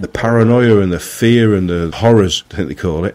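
The voice carries a Manchester accent and lively intonation at a fairly quick pace. The recording is very clean, with a silent background. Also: man. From Greater Manchester, England (Marple). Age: 40s. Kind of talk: testimony. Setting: radio studio.

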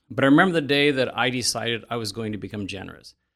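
A man talks at a medium pitch on a very clean recording with a silent background. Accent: Midwestern American. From Indiana, Elkhart County. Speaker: coffee shop owner. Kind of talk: interview.

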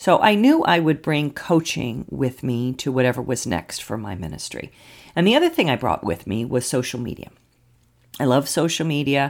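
A woman's very deep, low voice with vocal fry and very wide pitch swings, on a very clean recording with a silent background. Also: moderate pace. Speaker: pastor and clergy coach. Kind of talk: podcast monologue.

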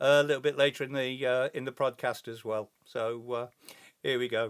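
A man with an English accent speaks at a moderate pace in a very clean recording with a silent background. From England. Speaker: hobby podcaster. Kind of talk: casual solo podcast monologue. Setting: home recording. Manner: hesitant, many fillers.

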